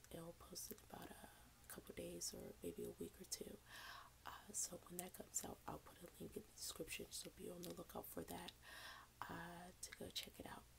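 A woman whispers at a moderate pace. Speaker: ASMR content creator. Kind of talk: casual talk to camera.

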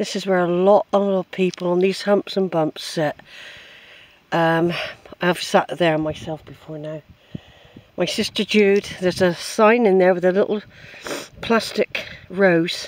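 In a dry recording with no echo, a woman talks fairly slowly with fairly even intonation and long, frequent pauses. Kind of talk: casual vlog chat. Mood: nostalgic, tender. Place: open country. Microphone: phone near.

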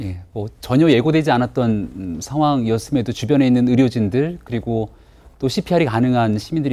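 A man speaks in a dark, mellow tone. His pace is fairly quick, with ordinary pitch variation. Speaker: political commentator. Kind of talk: TV panel discussion. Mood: somber, measured. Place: studio.

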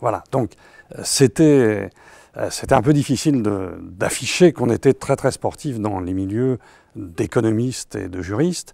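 The delivery is fairly slow, with a dark, mellow tone and lively intonation. The sound is dry with no echo, over a quiet background. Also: man. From France. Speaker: economist, professor emeritus; professor emeritus. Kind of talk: interview. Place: studio. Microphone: lapel.

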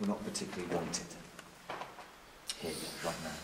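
Loud noise in the background competes with a man's voice. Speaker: medium leading a ghost hunt. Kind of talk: spoken impressions during investigation. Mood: hushed, eerie, deliberate. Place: tunnel cave. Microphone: camera far.

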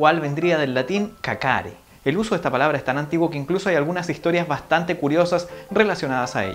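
Over faint background music, a man with a Chilean accent talks at a very fast pace in a fairly high pitch. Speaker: vlogger. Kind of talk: casual explainer talk to camera. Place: home room.

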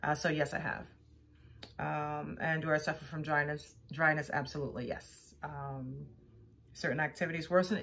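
A woman with a very deep, low voice speaks at a moderate pace with fairly even intonation. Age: 50s. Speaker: actor auditioning. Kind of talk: self-tape audition answers. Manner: hesitant, with fillers. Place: home room. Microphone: phone near.

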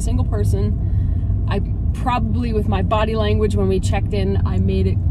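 Loud background noise sits behind a woman's voice. The sound is dry, with no echo. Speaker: travel vlogger. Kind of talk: casual vlog chat. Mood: cheerful, wistful. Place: car. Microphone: phone near.

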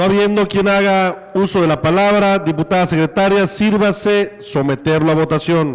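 A high-pitched male voice at a moderate pace, fairly even in intonation and very even in loudness, amid noticeable background noise. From Quintana Roo, Mexico (Felipe Carrillo Puerto). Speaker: legislature president. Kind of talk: chairing a parliamentary session. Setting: legislative chamber.

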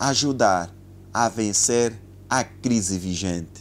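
A man talks with lively intonation. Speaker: presenter. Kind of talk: prayer. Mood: solemn, earnest. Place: studio. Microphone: lapel.

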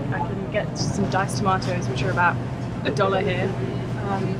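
Loud background noise behind a woman talking at a fairly quick pace. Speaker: sailing vlogger. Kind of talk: casual vlog chat. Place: shop. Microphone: phone near.

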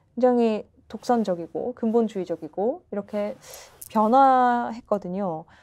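A woman's dark, mellow tone with lively intonation at a very slow pace. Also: quiet background. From South Korea. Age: 20s. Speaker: political candidate. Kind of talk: political interview. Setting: studio. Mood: calm, earnest argument. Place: studio. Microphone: lapel.

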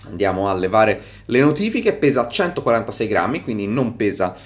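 Using a plain, everyday voice, a man at medium pitch speaks at a moderate pace with lively intonation. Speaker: tech reviewer. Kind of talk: product review.

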